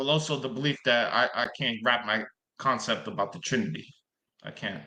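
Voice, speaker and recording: Using a bright, sharp tone with vocal fry, a man speaks at a fairly quick pace and medium pitch, his pitch swinging very widely. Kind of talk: live online debate. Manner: halting, stuttering.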